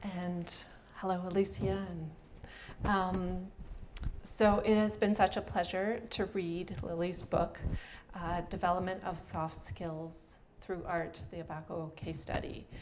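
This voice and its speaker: At a fairly slow pace with long, frequent pauses, a woman talks at a fairly low pitch with fairly even intonation, amid audible room echo. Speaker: arts consultant and facilitator. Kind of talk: presentation talk. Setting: event with live audience.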